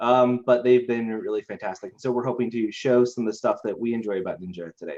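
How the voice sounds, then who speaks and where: Speaking at a very fast pace, a man with an American accent has a dark, mellow tone. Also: medium pitch for a man, fairly even intonation. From Idaho, US. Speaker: IT company co-founder. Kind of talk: webinar presentation.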